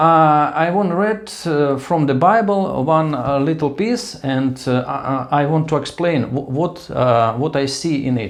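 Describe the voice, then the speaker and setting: A man with a Russian accent speaks at a fairly high pitch and a fairly slow pace, with hardly any pauses. His pitch varies in an ordinary way, and audible room echo is present. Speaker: vlogger. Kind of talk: casual monologue. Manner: halting.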